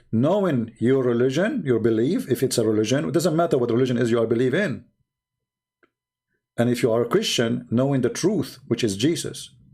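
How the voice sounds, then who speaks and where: A man with an Arabic accent speaks at a fairly quick pace in a medium pitch, his dark, mellow tone held at very even loudness while his intonation stays lively. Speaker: religious debate livestreamer. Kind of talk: livestream commentary. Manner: animated.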